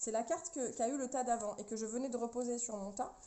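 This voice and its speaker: Over noticeable background noise, a woman with a fairly high pitch speaks at a fairly quick pace with ordinary pitch variation. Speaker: tarot card reader. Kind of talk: tarot reading for viewers. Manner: fast.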